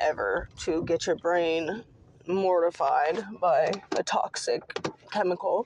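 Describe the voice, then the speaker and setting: A woman with an American accent keeps a very even loudness over noticeable background noise. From US Pacific Northwest, Seattle. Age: 30s. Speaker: podcast host. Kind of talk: personal monologue. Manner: casual, with frequent fillers.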